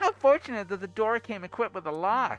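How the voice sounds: The speaker uses a put-on character voice at a fairly quick pace. Faint music plays in the background. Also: female-sounding voice.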